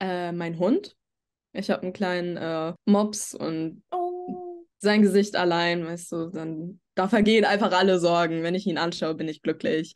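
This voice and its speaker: At a fairly slow pace, a woman speaks at a medium pitch with fairly even intonation over a quiet background. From Germany, Würzburg area; Germany. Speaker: podcast guest. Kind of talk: casual chat. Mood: relaxed, reflective. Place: home room. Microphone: video call.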